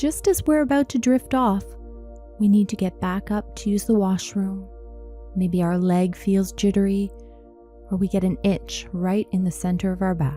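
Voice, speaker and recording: Over music in the background, a woman speaks in a calm tone at a fairly slow pace. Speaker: sleep coach. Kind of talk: guided sleep meditation. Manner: calm, slow.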